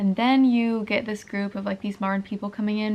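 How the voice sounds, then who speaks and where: Somewhat breathy and fairly high, a woman's voice comes through. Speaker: book vlogger. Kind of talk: casual vlog. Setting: at home late at night. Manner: filler-heavy, lots of 'like'.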